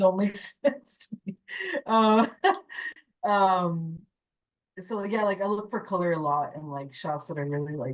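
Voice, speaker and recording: Speaking in an American accent, a woman with a medium pitch moves at a fairly slow pace, with lively intonation and long, frequent pauses. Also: big swings in loudness. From California, Mexican American. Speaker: animation character designer and story artist. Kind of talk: casual Q&A conversation. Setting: club speaker event with live audience. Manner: halting, with filler words.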